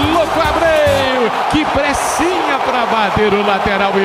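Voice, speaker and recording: Over noticeable background noise, a man speaks at an extremely high pitch with lively intonation. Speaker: radio football commentator. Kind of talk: live radio football play-by-play.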